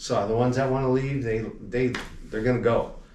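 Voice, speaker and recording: A man with an American accent speaks at a moderate pace and medium pitch. Room echo is audible. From Los Angeles area, California. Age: 60s. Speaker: alarm company owner. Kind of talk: interview. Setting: convention at a hotel.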